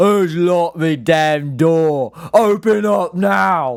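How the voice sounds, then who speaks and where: A man bellows in a put-on character voice at a fairly high pitch. He drags his words out at a very slow pace. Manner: bellowing.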